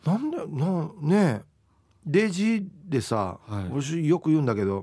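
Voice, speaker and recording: A man speaks in a relaxed tone with a fairly high pitch. His pitch swings very widely. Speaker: radio host. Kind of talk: casual chat. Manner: relaxed, casual.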